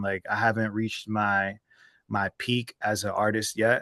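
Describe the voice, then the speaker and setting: Against a quiet background, a man with an American accent speaks in a bright, sharp tone. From US Northeast, southern New Jersey (Atlantic City area). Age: 30s. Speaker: rap artist. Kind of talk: interview. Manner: casual, filler-heavy.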